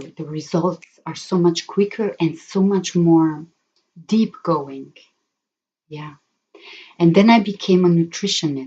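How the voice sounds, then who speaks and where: Her dark, mellow voice sits at a fairly low pitch as the woman speaks at a very slow pace with fairly even intonation. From Germany. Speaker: spiritual healer and therapist. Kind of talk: live stream talk. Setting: live stream. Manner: halting, many fillers.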